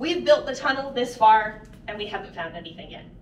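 Audible room echo and light background noise are present. A woman speaks at a fairly quick pace. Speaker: mine tour guide. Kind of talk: guided tour talk. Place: tunnel cave.

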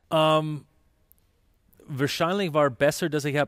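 A man speaks with a Canadian English accent. His pace is fairly slow. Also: very clean recording, silent background. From Canada. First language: English (speaking German). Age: 40s. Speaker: ice hockey sports director. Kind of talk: interview. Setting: arena. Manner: halting, many fillers.

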